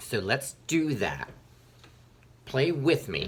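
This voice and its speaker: A man speaks in an animated tone. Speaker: elementary music teacher. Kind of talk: tutorial. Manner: fast.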